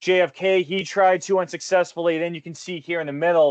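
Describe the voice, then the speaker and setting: A man with a Boston accent at a fairly quick pace, dry and close with no echo over a quiet background. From Boston area, US. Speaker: retirement investment consultant. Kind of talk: webinar presentation. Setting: online webinar.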